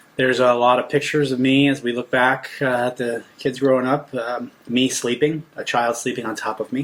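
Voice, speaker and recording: Speaking in an American accent, a man keeps a medium pitch and a monotone, flat intonation, moving at a fairly quick pace with hardly any pauses. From New Jersey. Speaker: surgical oncologist. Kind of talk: casual chat.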